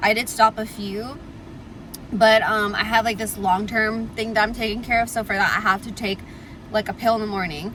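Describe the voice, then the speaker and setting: Noticeable background noise sits behind a woman speaking at a fairly quick pace and a fairly high pitch, her intonation fairly even. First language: Tamil. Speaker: lifestyle vlogger. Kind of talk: casual chat. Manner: filler-heavy, frequent 'like'. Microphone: audio quality issue, air conditioner on.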